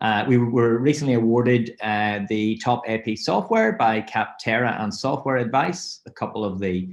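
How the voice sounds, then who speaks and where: A man with a Northern Irish accent talks at a fairly slow pace in a fairly low pitch. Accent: Northern Irish (Belfast). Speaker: fintech software representative. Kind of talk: webinar presentation. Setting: webinar.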